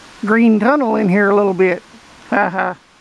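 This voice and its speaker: Over light background noise, the speech goes at a very slow pace with a dry sound and no echo. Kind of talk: casual vlog chat. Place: forest. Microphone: phone near.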